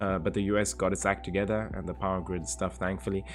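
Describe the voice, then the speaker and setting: Over background music, a man talks at a very fast pace. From South Africa, Cape Town. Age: 20s. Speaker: live streamer. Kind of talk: casual chat reading live chat.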